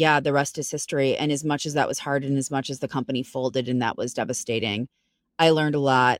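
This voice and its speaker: A woman with an American accent and a very deep, low pitch is heard in a dry, close sound with no echo on a very clean recording with a silent background. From Chicago, US Midwest. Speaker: founder and CEO, talent recruiter. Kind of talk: podcast interview, casual chat.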